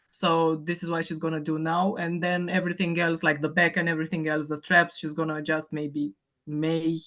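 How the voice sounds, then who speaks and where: At a moderate pace, a woman with a Romanian accent speaks in a very deep, low pitch with monotone, flat intonation. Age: 30s. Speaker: fitness client. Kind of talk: casual chat.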